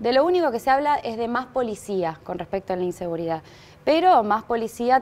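The intonation is lively. The pace is moderate. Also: woman. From Argentina. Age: 30s. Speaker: political candidate; candidate. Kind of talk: TV interview. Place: studio. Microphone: lapel.

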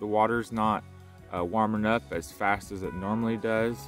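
Faint music plays in the background as a man talks at a moderate pace in a fairly low pitch, the sound dry with no echo. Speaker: fishing vlogger. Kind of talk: casual fishing report. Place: waterside. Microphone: phone near.

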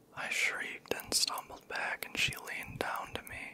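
Whispering, a man speaks at a moderate pace. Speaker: storyteller. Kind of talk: scary story narration, soft ASMR reading. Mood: eerie, hushed. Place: home room. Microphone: handheld.

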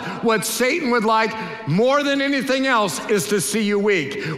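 A raised, projected voice with ordinary pitch variation carries over music in the background, with audible room echo. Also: man. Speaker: pastor, preacher. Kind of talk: sermon, preaching to a congregation. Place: church. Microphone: headset.

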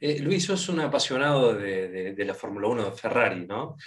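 The background stays quiet as a man talks. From Argentina. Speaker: motor show interviewer. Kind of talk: interview. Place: home room. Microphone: video call.

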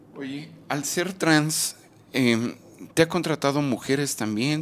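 Speaking at a very slow pace, a man uses lively intonation. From Mexico. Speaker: YouTube documentary interviewer; interviewer, channel host. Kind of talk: street interview; scripted narration. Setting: outdoors. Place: home room. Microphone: handheld.

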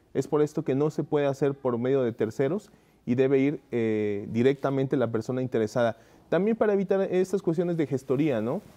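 A man's dark, mellow tone at a fairly high pitch, moving at a fairly quick pace. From Córdoba, Veracruz, Mexico; Veracruz, Mexico. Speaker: guest. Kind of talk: interview. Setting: studio. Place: studio.

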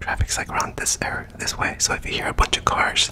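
A man is whispering at a moderate pace. Noticeable background noise is present. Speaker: content creator. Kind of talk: casual vlog chat. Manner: close-mic whisper, hand cupped over mouth. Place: home room. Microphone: studio mic.

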